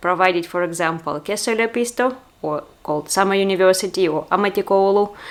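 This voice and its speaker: A woman speaks in a Russian accent at a medium pitch. Her pace is moderate, with ordinary pitch variation. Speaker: vlogger. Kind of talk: personal vlog monologue. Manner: hesitant, with fillers.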